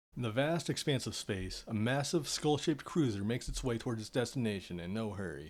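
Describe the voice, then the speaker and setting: A man speaks in an ordinary speaking voice with an American accent. His pitch sits in the medium range, and his intonation is lively. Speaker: artist and storyteller. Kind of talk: reading aloud; casual chat.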